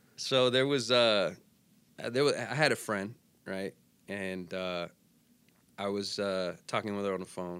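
With long, frequent pauses, a fairly low-pitched man talks at a fairly slow pace and ordinary pitch variation. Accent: American. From Arizona, Phoenix. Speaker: radio DJ. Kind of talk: casual interview chat. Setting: studio.

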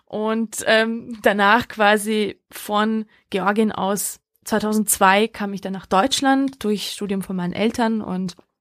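Her voice sits at a medium pitch, and this woman keeps a monotone, flat intonation throughout. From Georgia, Hungary and Germany. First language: Hungarian (speaking German). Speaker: Europe activist and author. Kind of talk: interview.

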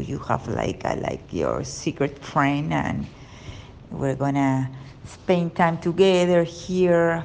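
A woman with a Spanish accent talks at a very slow pace in a fairly low pitch, with ordinary pitch variation. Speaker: private chef. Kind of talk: prepared monologue. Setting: at the beach. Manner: halting.

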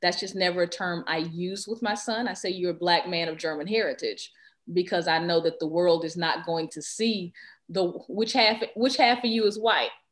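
A woman with a Texas accent, medium pitch, ordinary pitch variation and a moderate pace. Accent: Southern American (Texas). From US South. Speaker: educator and equity consultant. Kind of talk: interview.

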